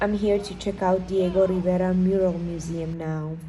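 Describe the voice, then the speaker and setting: A woman speaks at a medium pitch with a dark, mellow tone and a somewhat breathy quality, and the room echo is audible. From Georgia (country). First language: Georgian. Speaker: travel vlogger. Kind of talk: voiceover narration.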